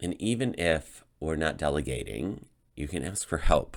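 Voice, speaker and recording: On a very clean recording with a silent background, a man speaks at a fairly slow pace with vocal fry and ordinary pitch variation. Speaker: tarot reader. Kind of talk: tarot reading monologue. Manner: halting, with many fillers.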